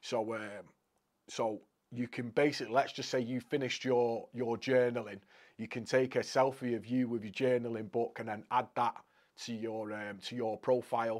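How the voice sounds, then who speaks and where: A man with a northwest English accent, medium-pitched and monotone with flat intonation, at a moderate pace, on a very clean recording with a silent background. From Crewe, Cheshire, England. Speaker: motivational speaker. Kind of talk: casual interview chat.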